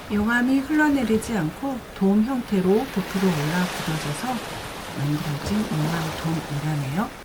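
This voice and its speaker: Over noticeable background noise, a woman of medium pitch talks at a fairly slow pace with very wide pitch swings. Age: 50s. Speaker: travel vlogger. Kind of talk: travel vlog narration.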